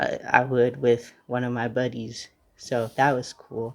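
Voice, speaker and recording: A man at medium pitch with monotone, flat intonation. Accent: American. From United States. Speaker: podcast host. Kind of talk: casual monologue. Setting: at grandmother's house.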